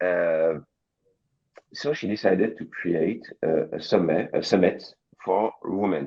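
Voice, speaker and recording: A man speaks with a French accent. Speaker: coworking space co-founder. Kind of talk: panel discussion. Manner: halting.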